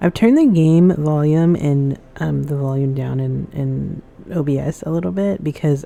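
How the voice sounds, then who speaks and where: A soft-spoken woman talks at a moderate pace in a very deep, low voice. Her pitch varies in an ordinary way. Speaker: gaming streamer. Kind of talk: gameplay commentary.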